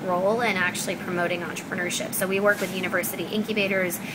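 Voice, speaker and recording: A woman with an American accent speaks very fast in a monotone, flat intonation, with audible room echo and noticeable background noise. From Pakistan. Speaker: startup founder and CEO. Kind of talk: interview. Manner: many filler words (um, like).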